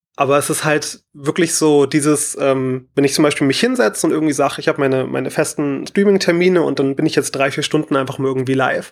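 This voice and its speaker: At a very fast pace, a man speaks in a fairly high voice with ordinary pitch variation. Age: 20s. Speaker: caller, streamer. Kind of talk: personal testimony.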